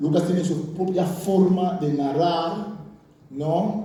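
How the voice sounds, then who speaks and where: Speaking at a very slow pace and a high pitch, a man is heard with audible room echo and noticeable background noise. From Curaçao. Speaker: bible scholar and pastor. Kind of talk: lecture.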